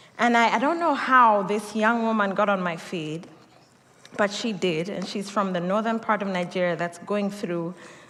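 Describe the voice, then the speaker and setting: A woman speaks in a medium pitch with a Kenyan accent. Room echo can be heard around her voice. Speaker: pastor. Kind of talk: sermon.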